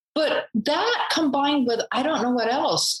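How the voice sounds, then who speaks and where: A woman is speaking. Her pace is moderate. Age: 60s. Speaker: photographer and charity founder. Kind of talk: interview.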